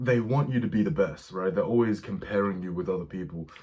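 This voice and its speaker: Very fast male speech. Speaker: vlogger giving dating advice. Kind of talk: casual monologue to camera. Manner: halting, many fillers and repeats.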